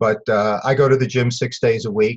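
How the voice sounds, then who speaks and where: A man with an American accent speaks in a somewhat breathy voice. His medium pitch shows ordinary pitch variation. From New York City (Bronx). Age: 60s. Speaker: dentist and investing educator. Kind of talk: interview.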